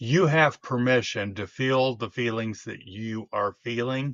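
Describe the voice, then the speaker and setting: Here a man speaks at a medium pitch with ordinary pitch variation. His pace is very slow. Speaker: live show co-host. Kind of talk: casual chat.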